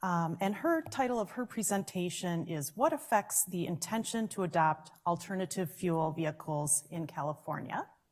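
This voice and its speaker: Somewhat breathy and fairly low in pitch, a woman talks with a Minnesotan accent. Her moderate pace has hardly any pauses and ordinary pitch variation. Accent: Minnesota. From Minnesota, US. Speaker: session moderator. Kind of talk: panel introduction at conference. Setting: conference room with audience, microphones.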